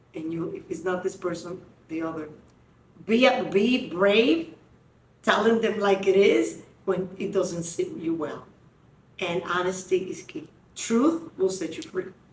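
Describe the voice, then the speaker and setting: Somewhat breathy, a woman of medium pitch speaks at a fairly slow pace with lively intonation and long, frequent pauses. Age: 60s. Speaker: podcast host. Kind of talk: casual chat.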